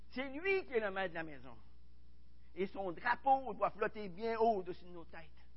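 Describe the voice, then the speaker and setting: A man with a high pitch at a moderate pace, ordinary pitch variation, big swings in loudness and long, frequent pauses. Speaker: pastor. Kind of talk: sermon. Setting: church.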